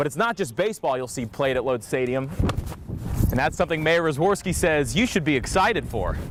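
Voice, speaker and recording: An energetic, fairly high-pitched man's voice at a fairly quick pace with lively intonation over noticeable background noise. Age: young. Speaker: TV news anchor and reporter. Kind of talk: live TV news report and anchor read.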